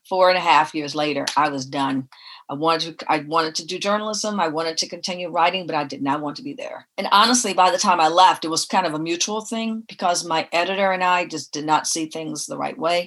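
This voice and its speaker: With an American accent, a woman has a normal speaking voice at a fairly low pitch, ordinary pitch variation and a fairly quick pace. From Detroit, Michigan, US. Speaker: music industry executive. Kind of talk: interview.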